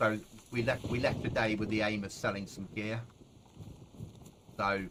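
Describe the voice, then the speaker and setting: This man has a fairly low pitch and a relaxed tone. He speaks at a moderate pace with monotone, flat intonation. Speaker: gaming streamer. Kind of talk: live gameplay stream chat. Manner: casual, relaxed.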